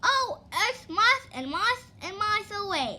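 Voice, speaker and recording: Putting on a squeaky character voice, a woman speaks at an extremely high pitch and a moderate pace. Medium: read story.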